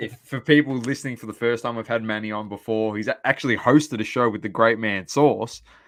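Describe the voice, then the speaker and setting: Talking at a very fast pace with hardly any pauses, a man with an Australian accent shows big swings in loudness. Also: medium pitch for a man, fairly even intonation. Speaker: podcast host. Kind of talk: casual chat.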